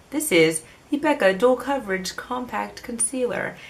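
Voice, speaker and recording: There is noticeable background noise as a woman talks. She has a fairly high pitch, lively intonation and a fairly slow pace. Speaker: beauty vlogger. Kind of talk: casual product review. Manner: jumbled, stumbling speech.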